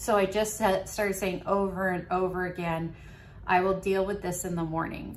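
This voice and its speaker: A woman speaks at a moderate pace in a fairly low pitch with ordinary pitch variation, with audible room echo and noticeable background noise. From New England. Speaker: video diarist, living kidney donor. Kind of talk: video diary.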